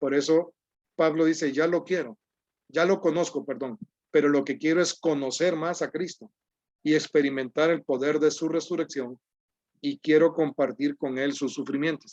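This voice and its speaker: In an unremarkable speaking voice, a man talks at a moderate pace with fairly high pitch and fairly even intonation, the sound dry and close with no echo. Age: 60s. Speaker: preacher. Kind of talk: sermon.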